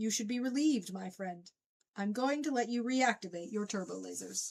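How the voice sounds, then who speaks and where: A female-sounding voice uses a put-on character voice at a fairly high pitch. The pace is moderate. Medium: read story.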